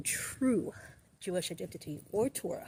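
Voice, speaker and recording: A woman's somewhat breathy, dark and mellow voice with an American accent and ordinary pitch variation. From Brooklyn, New York. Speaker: activist. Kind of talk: talk to camera, opinion commentary.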